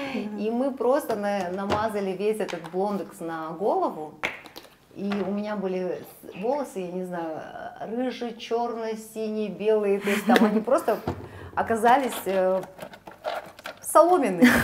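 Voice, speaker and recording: Pausing long and often, a woman speaks fairly slowly with lively intonation over noticeable background noise. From Kazakhstan. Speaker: interviewer. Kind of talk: interview. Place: shop.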